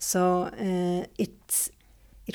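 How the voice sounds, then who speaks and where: In a very clean recording with a silent background, the speaker has a Swedish accent. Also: woman. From Sweden, Jönköping. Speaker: dance teacher. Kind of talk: interview. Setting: dance school. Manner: halting.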